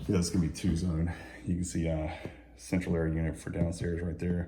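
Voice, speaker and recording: Noticeable background noise and audible room echo surround a man talking at a fairly quick pace in a very deep, low voice. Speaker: real estate agent. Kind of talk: home tour walkthrough. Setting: walking through a house. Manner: fast; casual, hesitant fillers.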